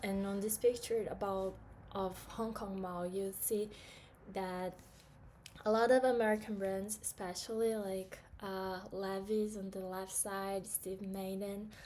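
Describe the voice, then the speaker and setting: Noticeable background noise surrounds a woman speaking at a fairly slow pace. Her medium pitch stays monotone, with flat intonation. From Brazil. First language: Portuguese. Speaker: student. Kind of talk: class presentation. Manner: hesitant, many fillers.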